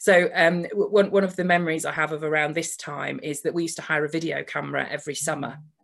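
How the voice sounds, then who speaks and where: A woman speaks at fairly low pitch with vocal fry and fairly even intonation. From southern England, then Lancashire. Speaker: coach for lawyers. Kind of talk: talk. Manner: conversational with fillers.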